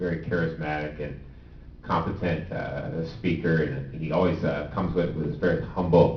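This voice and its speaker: In a slight Southern US accent, the speaker keeps a fairly even intonation amid audible room echo. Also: man. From Southern Maryland. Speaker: state transportation official. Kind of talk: panel discussion.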